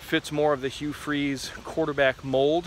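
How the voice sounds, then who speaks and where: Over light background noise, a man talks at a moderate pace in a monotone, flat intonation, the sound dry with no echo. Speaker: sports commentator. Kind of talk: commentary. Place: forest. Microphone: phone near.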